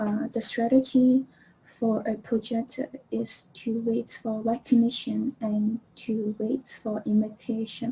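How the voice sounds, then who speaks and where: Very slow and monotone, a woman's fairly high voice comes through somewhat breathy with a dark, mellow tone and flat intonation. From Hong Kong. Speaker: human design specialist. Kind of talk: online presentation. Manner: halting, many fillers.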